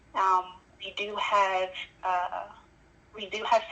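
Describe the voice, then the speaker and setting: A woman with a Congolese accent talks at a medium pitch. Noticeable background noise is present. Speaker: caller. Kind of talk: call-in interview.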